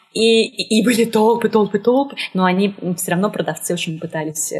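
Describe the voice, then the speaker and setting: This woman's voice is somewhat breathy, with a medium pitch and fairly even intonation. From Moscow, Russia. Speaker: art historian. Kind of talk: interview. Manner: hesitant, many fillers.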